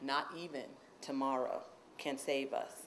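A woman at a very slow pace, monotone, flat intonation and light background noise. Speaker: introducer at a reading series, university poet/professor. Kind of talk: introduction at a poetry reading. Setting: stage with audience. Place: classroom. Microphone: podium.

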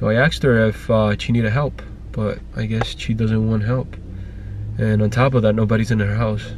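Music plays in the background while a man speaks at a moderate pace. The sound is dry with no echo. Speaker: family vlogger. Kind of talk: casual vlog chat. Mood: annoyed, venting. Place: car. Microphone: phone near.

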